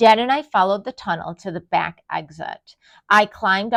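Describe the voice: The voice is plain reading aloud. Pitch variation is ordinary, against a quiet background.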